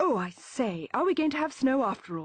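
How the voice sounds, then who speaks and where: A woman puts on a character voice, pitched high with very wide swings in pitch, and keeps a moderate pace. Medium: read story. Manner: polite, well-spoken.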